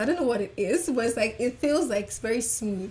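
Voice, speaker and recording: Fairly high-pitched woman's voice, fairly quick and lively in intonation, over noticeable background noise. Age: 20s. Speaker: makeup artist. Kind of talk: interview.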